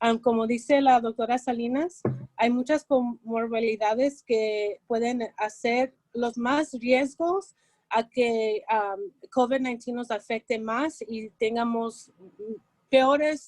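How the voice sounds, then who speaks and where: Speaking at a very slow pace, a woman keeps a high pitch with fairly even intonation. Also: dry, close sound with no echo. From Los Angeles. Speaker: mental health speaker. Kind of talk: presentation.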